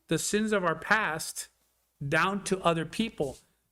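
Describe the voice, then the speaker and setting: A man talks in an animated way. His tone is bright and sharp. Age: 60s. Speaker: city commissioner. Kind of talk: public meeting discussion. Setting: city hall commission chambers.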